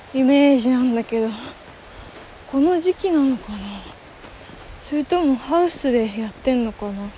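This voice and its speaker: A high-pitched woman at a moderate pace, with long, frequent pauses and noticeable background noise. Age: 20s. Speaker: podcaster. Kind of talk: casual solo monologue while walking. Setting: outdoors, walking to a waterfall. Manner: halting, thinking aloud.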